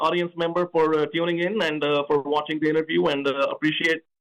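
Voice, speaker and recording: Speaking very fast in a high voice, a man with a slight Indian accent keeps his intonation monotone and flat. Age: 40s. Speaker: political candidate. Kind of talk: radio interview. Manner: repetitive, emphatic.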